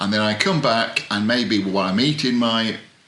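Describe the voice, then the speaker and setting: Fairly slow delivery from a man, ordinary pitch variation, audible room echo and noticeable background noise. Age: old. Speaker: author and writing coach. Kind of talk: tutorial. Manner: halting; rambling.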